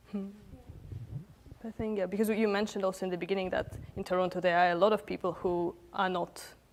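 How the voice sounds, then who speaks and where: Delivered with a non-native accent, the speech keeps a fairly even intonation. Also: woman. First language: not Swedish. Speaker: panel moderator. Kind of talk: panel discussion. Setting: studio panel with microphones.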